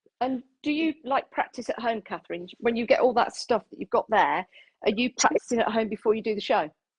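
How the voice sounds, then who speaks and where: Fairly high in pitch with ordinary pitch variation, a woman talks at a fairly quick pace with an English accent. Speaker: live stream host. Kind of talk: casual chat. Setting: Facebook live stream. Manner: loud.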